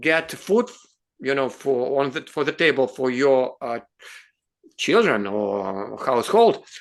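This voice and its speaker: A man's bright, sharp voice in a Russian accent, with very wide pitch swings. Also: quiet background. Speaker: advocacy show host. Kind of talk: interview discussion. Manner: halting.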